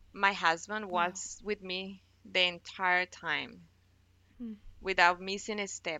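A woman's medium-pitched voice in a Spanish accent, with fairly even intonation and a fairly slow pace. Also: big swings in loudness. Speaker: NICU mother. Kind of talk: personal testimony.

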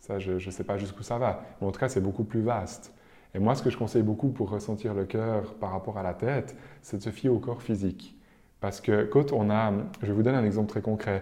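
At a fairly quick pace, a man with a fairly low voice and a dark, mellow tone speaks with fairly even intonation. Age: 30s. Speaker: medium. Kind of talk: interview.

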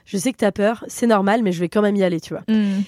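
In a very clean recording with a silent background and a dry, close sound with no echo, a woman speaks fairly quickly at a medium pitch, with a dark, mellow tone and ordinary pitch variation. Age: 30s. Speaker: comedian. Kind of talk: casual chat.

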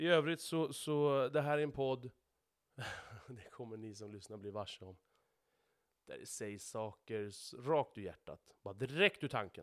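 Speaking at a fairly slow pace with long, frequent pauses, a man of medium pitch uses lively intonation and big swings in loudness. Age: 30s. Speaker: podcast host, truck driver. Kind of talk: solo monologue podcast. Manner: repeats words, stumbles.

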